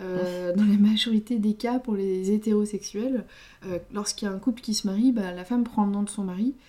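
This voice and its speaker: Her medium-pitched voice moving at a moderate pace, a woman speaks with fairly even intonation. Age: 30s. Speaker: podcast co-host. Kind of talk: casual chat. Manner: halting.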